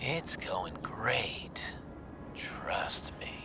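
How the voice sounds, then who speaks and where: A man's whispering, put-on character voice over loud background noise. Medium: solo performance. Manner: smug, taunting.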